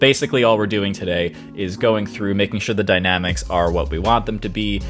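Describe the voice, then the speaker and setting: A man is speaking at a fairly low pitch. Music plays in the background. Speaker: composer. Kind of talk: casual screen-recording commentary.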